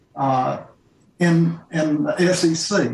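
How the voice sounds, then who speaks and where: A man with a Mississippi accent. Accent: US Southern (Mississippi). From Jackson, Mississippi. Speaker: author and retired professor. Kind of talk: virtual panel discussion.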